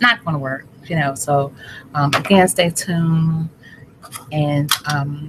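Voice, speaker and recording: Speaking at a very slow pace with long, frequent pauses, the voice shows ordinary pitch variation over noticeable background noise. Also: woman, very deep, low pitch for a woman. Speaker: health vlogger. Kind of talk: casual vlog talk.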